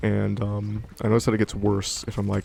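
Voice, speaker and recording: A man's fairly low, monotone voice at a fairly quick pace, with flat intonation and noticeable background noise. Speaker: gaming let's play streamer. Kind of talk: casual gameplay commentary.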